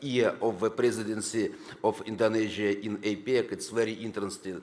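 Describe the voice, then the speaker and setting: Someone with a Russian accent talks at a moderate pace with fairly even intonation, with audible room echo around the voice. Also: man. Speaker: government deputy minister. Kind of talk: conference speech. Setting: conference hall. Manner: halting.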